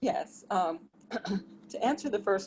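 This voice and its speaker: A plain, everyday voice with an American accent, at a moderate pace and with lively intonation. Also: woman. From US Northeast, Philadelphia area. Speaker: event attendee. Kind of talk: group discussion.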